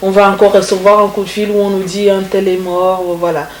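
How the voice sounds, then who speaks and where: There is noticeable background noise behind a woman speaking. She talks at a fairly slow pace with a medium pitch. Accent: Congolese. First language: Congolese language (speaking French). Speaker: singer. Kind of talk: interview. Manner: halting.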